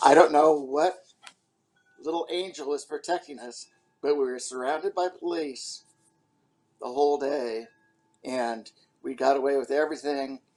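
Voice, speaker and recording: Pausing long and often, a man with a fairly high pitch speaks at a moderate pace, his loudness swinging widely and his pitch varying in an ordinary way. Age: 60s. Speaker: interviewee in documentary series. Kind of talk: personal storytelling.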